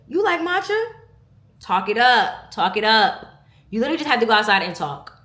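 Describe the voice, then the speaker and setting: This woman's voice is bright and sharp, animated, with very wide pitch swings. She speaks at a fairly quick pace amid audible room echo. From New York, Brooklyn. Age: 20s. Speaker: vlogger. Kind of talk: casual chat.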